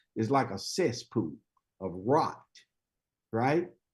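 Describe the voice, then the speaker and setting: Speaking at a fairly slow pace against a quiet background, a man lets his pitch swing very widely. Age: 70s. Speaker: motivational speaker. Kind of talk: motivational talk.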